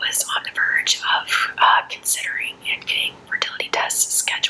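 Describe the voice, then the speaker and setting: A whispering woman at a fairly slow pace, with noticeable background noise. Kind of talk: true crime case narration. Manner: soft-spoken.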